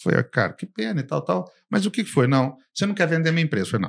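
A man's fairly high voice with vocal fry and very wide pitch swings, at a very fast pace. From Brazil. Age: 50s. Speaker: business consultant and company founder. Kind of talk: casual interview. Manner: animated.

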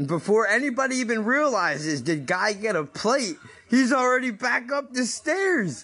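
A man shouts in a raised, projected voice at a fairly slow pace, his pitch swinging very widely. Noticeable background noise sits behind him. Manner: loud, talks at one volume, yells; casual, profane banter.

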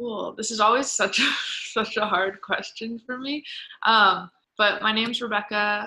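A plain, everyday voice with an American accent moves at a moderate pace with fairly even intonation. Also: woman, fairly high pitch for a woman. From Philadelphia suburbs, Pennsylvania. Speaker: event producer. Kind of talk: interview.

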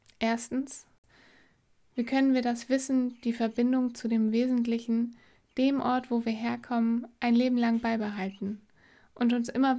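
A woman's fairly high, dark, mellow voice, monotone and flat, on a very clean recording with a silent background. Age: 30s. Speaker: podcast host, mother. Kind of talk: reflective solo monologue.

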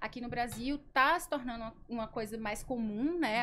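A woman's unremarkable speaking voice, fairly high in pitch, with lively intonation. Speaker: education sales coordinator. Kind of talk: casual interview.

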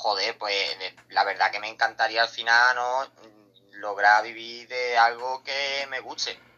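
A man's medium-pitched, monotone and flat delivery at a very slow pace, with big swings in loudness. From Seville, Andalusia, Spain. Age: 20s. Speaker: streamer. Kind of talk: casual interview.

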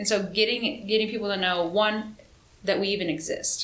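Audible room echo surrounds a woman with an American accent. She speaks at a moderate pace. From Missouri. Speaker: Air Force sergeant. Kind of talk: interview.

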